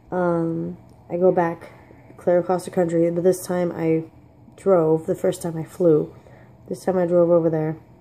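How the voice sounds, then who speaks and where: Quiet and dark, a woman's mellow voice is fairly low in pitch with monotone, flat intonation. Her pace is moderate, with long, frequent pauses. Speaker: vlogger. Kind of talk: personal storytelling. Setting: at home. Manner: casual, halting. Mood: weary, reflective storytelling. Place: kitchen. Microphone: phone near.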